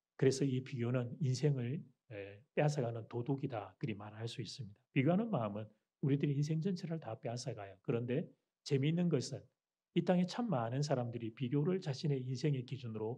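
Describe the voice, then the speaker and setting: Speaking at a fairly quick pace, a man uses a dark, mellow tone and ordinary pitch variation. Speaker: pastor. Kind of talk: sermon. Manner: loud.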